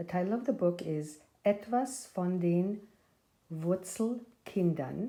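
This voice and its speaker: A woman with a German accent speaks at a very slow pace and medium pitch. Her tone is dark and mellow, with ordinary pitch variation. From Austria. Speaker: nonprofit volunteer and board member. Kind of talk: children's story reading.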